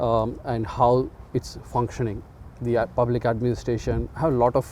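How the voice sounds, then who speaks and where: A man with an Indian accent speaks with fairly even intonation. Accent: Indian English (Telugu). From India, Andhra Pradesh. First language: Telugu. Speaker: community organizer and chess club founder. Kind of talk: interview. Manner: halting, many fillers.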